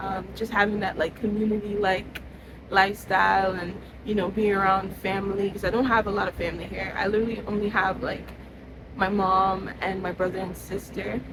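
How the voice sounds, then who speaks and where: A woman speaks fairly quickly at a medium pitch, her intonation monotone and flat. Noticeable background noise and audible room echo are present. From Trinidad and Tobago. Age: 20s. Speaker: content creator. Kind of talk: casual monologue.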